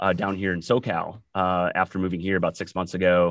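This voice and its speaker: The background is quiet as a man speaks with an American accent. His voice sits at a very deep, low pitch. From Wisconsin, US Upper Midwest. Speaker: podcast host and startup founder. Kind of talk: casual sports chat.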